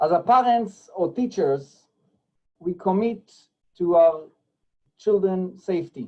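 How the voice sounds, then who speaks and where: A man with a non-native accent speaks at a high pitch with ordinary pitch variation. His tone is dark and mellow. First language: not English. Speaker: rabbi and school technology director. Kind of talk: presentation. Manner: halting.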